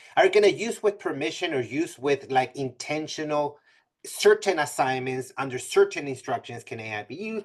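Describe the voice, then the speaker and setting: A man at a fairly quick pace, against a quiet background. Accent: non-native. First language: not English. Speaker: math professor giving a presentation. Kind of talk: webinar presentation. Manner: many fillers and self-corrections.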